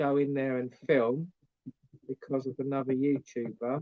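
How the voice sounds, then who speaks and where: Here a man speaks with an English accent. His pace is fairly slow. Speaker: YouTuber vlogger. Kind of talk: live stream chat.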